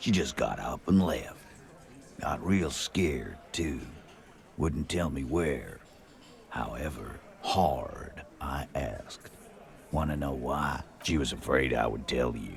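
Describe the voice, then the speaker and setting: Putting on a character voice, a man speaks with a very deep, low pitch at a fairly slow pace, with ordinary pitch variation, long, frequent pauses and clear background noise. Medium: video game. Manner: blunt, gruff.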